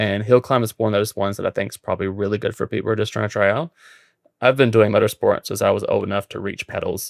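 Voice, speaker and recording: Speaking very fast, a man has an American accent. The recording is very clean and dry, close with no echo and a silent background. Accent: noticeable accent, self-described as annoying. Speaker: podcast host, amateur racing driver. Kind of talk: casual chat.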